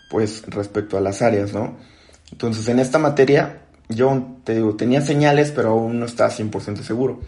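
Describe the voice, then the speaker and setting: A man at a fairly slow pace, medium in pitch. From Mexico, Acapulco (Guerrero coast). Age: 20s. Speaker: architect and software technical support lead. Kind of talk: interview podcast conversation. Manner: hesitant, many fillers and repetitions.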